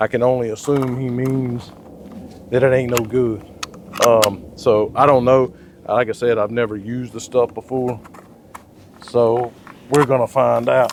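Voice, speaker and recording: Fairly slow speech broken by long, frequent pauses, with noticeable background noise behind it. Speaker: gun reviewer. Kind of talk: casual firearm review talk.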